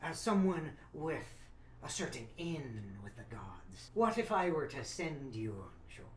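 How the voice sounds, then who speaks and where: A put-on character voice at a middle pitch, fairly slow in pace, with very wide pitch swings and clear background noise. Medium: actual play. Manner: scheming, persuasive.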